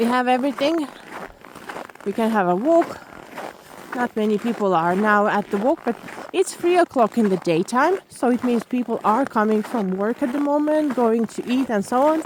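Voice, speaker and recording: Over noticeable background noise, a woman with a non-native accent talks at a moderate pace in a high voice with lively intonation. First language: not English. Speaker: vlogger. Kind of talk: walking vlog narration. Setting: outdoors in snow. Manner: halting, with fillers.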